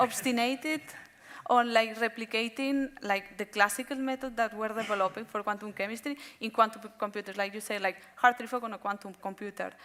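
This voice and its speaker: A fairly high-pitched woman talks at a fairly quick pace with fairly even intonation and big swings in loudness. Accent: Spanish. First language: Spanish. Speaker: quantum chemistry researcher. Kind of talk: panel discussion. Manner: halting.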